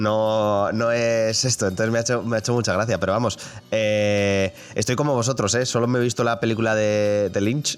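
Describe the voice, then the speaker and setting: Noticeable background noise sits behind a man speaking at a moderate pace with medium pitch and fairly even intonation. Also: very even loudness. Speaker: video game podcast host. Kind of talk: casual chat.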